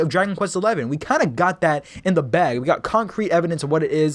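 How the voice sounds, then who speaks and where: Talking at a very fast pace, a man with a high pitch uses an animated tone. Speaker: gaming YouTuber. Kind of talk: casual video commentary.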